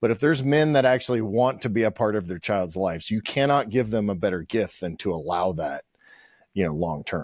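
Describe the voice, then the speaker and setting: Fairly quick speech in an American accent with lively intonation, on a very clean recording with a silent background. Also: man, fairly low pitch for a man. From Pittsburgh, US. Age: 50s. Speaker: podcast host. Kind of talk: interview conversation. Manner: loud.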